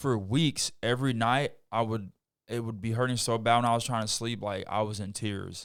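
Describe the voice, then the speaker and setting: A normal speaking voice with an American accent moves at a moderate pace with fairly even intonation on a very clean recording with a silent background. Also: man, medium pitch for a man. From US Midwest, Chicago. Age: 30s. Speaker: pro basketball player. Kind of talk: casual chat.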